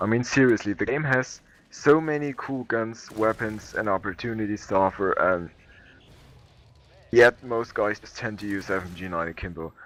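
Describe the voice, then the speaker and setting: Here a man speaks in a fairly low voice with a non-native accent. His pitch varies in an ordinary way. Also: moderate pace. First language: not English. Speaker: gaming commentator. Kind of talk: gameplay commentary.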